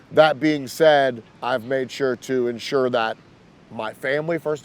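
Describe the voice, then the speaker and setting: A man speaks in a plain, everyday voice with ordinary pitch variation. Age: 40s. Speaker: hip-hop A&R executive. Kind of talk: interview. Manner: casual, with filler words.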